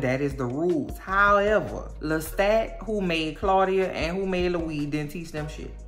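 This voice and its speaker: A woman speaks at a moderate pace with a fairly low pitch and lively intonation. Music plays in the background, and the room echo is audible. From New Orleans, Louisiana. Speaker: TV recap youtuber. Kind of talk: casual recap monologue. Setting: at home in bed. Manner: animated.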